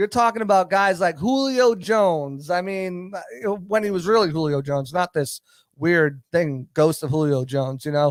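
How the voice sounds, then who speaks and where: On a very clean recording with a silent background, a man speaks with a high pitch. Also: dry, close sound with no echo. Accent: Boston. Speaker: football analyst. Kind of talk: sports talk show discussion. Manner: fast, stammering repetitions.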